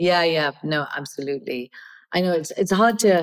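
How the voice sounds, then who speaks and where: Talking fairly fast, this woman lets her pitch rise and fall in an ordinary way. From Kenya, of Indian origin. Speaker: artist. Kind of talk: interview. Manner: halting.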